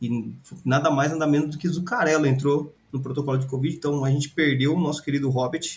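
A man's fairly high voice comes out somewhat breathy as he talks fairly quickly. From Brazil, Ribeirão Preto. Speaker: sports podcast co-host. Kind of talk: casual chat.

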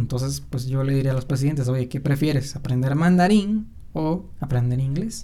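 A Mexican accent at a moderate pace, with audible room echo. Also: man. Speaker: podcast host. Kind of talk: casual solo commentary. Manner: animated.

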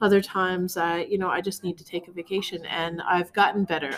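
A woman speaks with a Newfoundland accent. Her pace is moderate. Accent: Newfoundland Canadian English. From Newfoundland and Labrador, Canada. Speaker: art studio founder and former chef. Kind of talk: casual interview.

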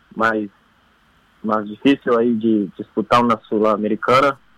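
Dry and close with no echo, the recording captures a man at medium pitch speaking at a fairly slow pace. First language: Portuguese (speaking Spanish). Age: 20s. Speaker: footballer. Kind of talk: phone interview. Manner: halting.

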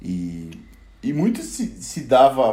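A man's dark, mellow, fairly high-pitched voice with very wide pitch swings and audible room echo. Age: 20s. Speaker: podcast panelist, photographer. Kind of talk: casual chat.

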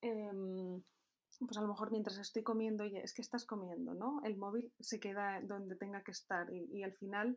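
With a plain, everyday voice, a woman speaks at a fairly high pitch and keeps her intonation fairly even. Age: 20s. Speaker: entrepreneur. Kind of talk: interview.

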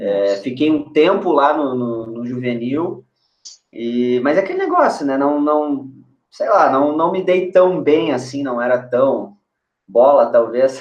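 This man has a plain, everyday voice, pitched fairly high, with ordinary pitch variation as he talks at a fairly slow pace. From Brazil, moved between Niterói, Porto Alegre and Curitiba. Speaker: former footballer, US college soccer advisor. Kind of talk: casual chat. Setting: video call livestream.

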